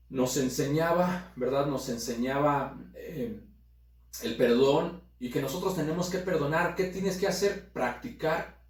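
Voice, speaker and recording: A man's fairly high, fairly slow voice with ordinary pitch variation, audible room echo and noticeable background noise. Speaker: pastor. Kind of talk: sermon. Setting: recorded video broadcast.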